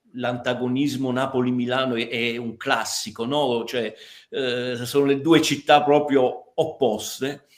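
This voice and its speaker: This man talks very slowly. His voice sits at a medium pitch. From Milan, northern Italy (Neapolitan parents). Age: 60s. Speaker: podcast guest. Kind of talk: casual chat. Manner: halting, many repetitions.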